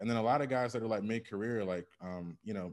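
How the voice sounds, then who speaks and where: A man talks with an American accent. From Michigan, US Midwest. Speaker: business acquisition advisor, former engineer. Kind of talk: interview. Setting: remote call.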